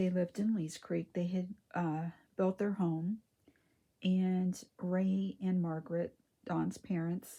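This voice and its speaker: Soft-spoken and somewhat breathy, a woman talks at a very slow pace with a dark, mellow tone, a medium pitch and fairly even intonation. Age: 60s. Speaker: reborn doll collector / vlogger. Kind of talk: casual chat.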